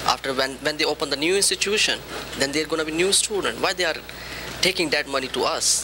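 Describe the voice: Fast speech from a man pitched fairly high, with ordinary pitch variation. Background noise is clearly heard.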